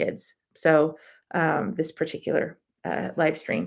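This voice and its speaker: A woman speaks at a fairly low pitch with vocal fry. The recording is very clean with a silent background. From Southern California (Inland Empire). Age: 40s. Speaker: mental health vlogger. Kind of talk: live stream chat. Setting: live stream.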